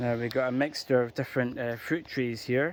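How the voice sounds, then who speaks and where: A man speaks at medium pitch with an Edinburgh accent. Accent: Scottish (Edinburgh). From Scotland, Edinburgh. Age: 40s. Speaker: gardening vlogger. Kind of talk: casual video tour. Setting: outdoors in garden. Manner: hesitant, many fillers.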